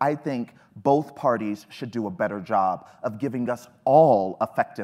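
In a normal speaking voice with an American accent, a man talks at a moderate pace and medium pitch on a very clean recording with a silent background. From Texas. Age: 30s. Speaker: millennial panelist. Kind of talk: panel discussion.

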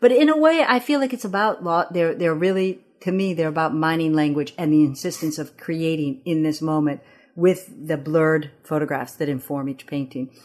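In a Midwestern accent, a woman speaks at a moderate pace and fairly low pitch with ordinary pitch variation against a quiet background. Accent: American, Midwest. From Ethiopia (Addis Ababa), then East Lansing, Michigan. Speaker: painter. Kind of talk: interview. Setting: gallery. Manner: halting, many restarts.

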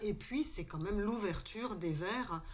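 A woman speaks at a medium pitch. The room echo is audible. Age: 60s. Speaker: retired social worker and former activist. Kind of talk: casual panel discussion. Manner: hesitant.

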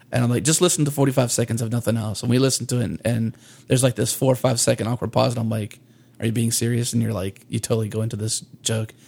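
At a very fast pace, a somewhat breathy man talks in a medium pitch with fairly even intonation. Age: 30s. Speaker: podcast co-host. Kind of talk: casual chat.

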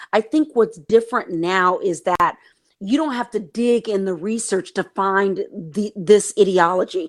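In a plain, everyday voice, a woman with an American accent speaks at a fairly slow pace with ordinary pitch variation, on a very clean recording with a silent background. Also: medium pitch for a woman. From East Texas, US. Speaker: novelist and TV screenwriter. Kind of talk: interview.

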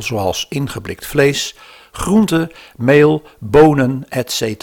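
The man talks at a medium pitch, and his intonation is lively. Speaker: narrator of the historical podcast. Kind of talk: scripted narration.

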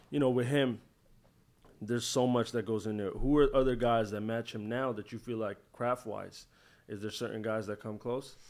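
A man speaks with a plain, everyday voice at a medium pitch. His intonation is fairly even and his pace moderate. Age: 20s. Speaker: podcast host. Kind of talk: casual chat.

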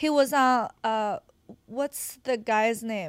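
A woman with a Chinese accent speaks at a very slow pace. Her pitch is fairly high, with ordinary variation. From China, Qingdao. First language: Mandarin Chinese. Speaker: adult content creator. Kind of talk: casual chat. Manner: giggly.

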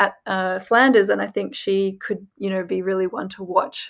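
The very clean recording with a silent background captures a woman with an Australian accent. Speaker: former pro cyclist, pundit. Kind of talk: casual chat.

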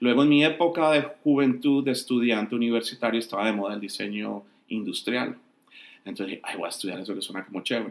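Talking at a very fast pace, a man keeps a medium pitch with ordinary variation. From Colombia. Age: 50s. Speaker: entertainment journalist and film critic. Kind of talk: interview.

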